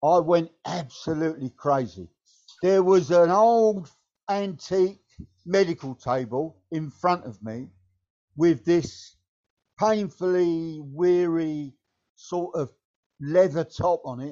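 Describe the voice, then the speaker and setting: A man with a southeast English accent and a high pitch speaks at a very slow pace, with ordinary pitch variation, big swings in loudness, and long, frequent pauses. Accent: south-east English. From Kent, England. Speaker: former football manager. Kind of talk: casual chat. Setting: video call.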